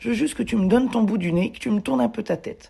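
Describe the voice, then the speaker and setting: A woman's fairly quick speech with very wide pitch swings and vocal fry. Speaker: mule and horse owner, video blogger. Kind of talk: voice-over narration of training video. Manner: casual, hesitant with fillers.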